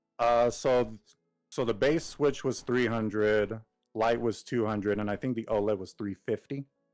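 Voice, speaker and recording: Music plays behind a man whose medium-pitched voice keeps a fairly even intonation. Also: moderate pace. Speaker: gamer streamer. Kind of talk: casual chat. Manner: halting.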